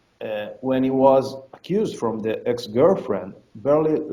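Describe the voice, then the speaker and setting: Speaking at a very slow pace, a man with a medium-pitched voice uses lively intonation. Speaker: fight promotion owner. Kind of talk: interview. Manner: halting, many repetitions and fillers; animated.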